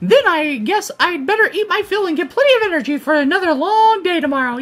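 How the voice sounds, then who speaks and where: A woman talks at a very fast pace with an extremely high pitch and very wide pitch swings. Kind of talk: read of game dialogue. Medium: game stream. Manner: upbeat, enthusiastic.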